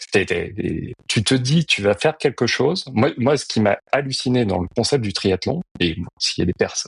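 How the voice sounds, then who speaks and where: A man's somewhat breathy voice at medium pitch, with very wide pitch swings, a moderate pace, hardly any pauses, and a dry, close sound with no echo. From France, early childhood on Réunion. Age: 40s. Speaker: amateur triathlete and banker. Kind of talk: podcast interview. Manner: halting, many filler hesitations.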